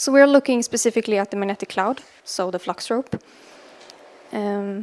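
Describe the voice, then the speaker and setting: Soft-spoken and fairly high in pitch, a woman talks at a moderate pace with ordinary pitch variation. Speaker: space physicist. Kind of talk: conference talk. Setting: lecture hall with audience, streamed.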